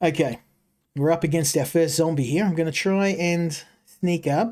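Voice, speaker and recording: The pace here is moderate. The speaker has an Australian accent. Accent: thick Australian. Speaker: game streamer. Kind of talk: live gameplay commentary. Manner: halting, many fillers and repeats.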